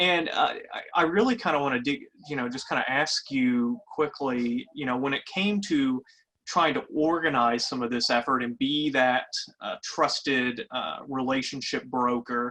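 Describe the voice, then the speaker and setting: In a Kentucky accent, the speaker moves along at a moderate pace. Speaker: webinar moderator. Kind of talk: webinar panel discussion. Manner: halting.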